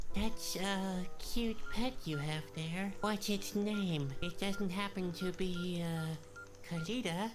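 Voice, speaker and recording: Over loud music in the background, a female-sounding put-on character voice at middle pitch drawls along at a very slow pace. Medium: video game. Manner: earnest, slightly mopey.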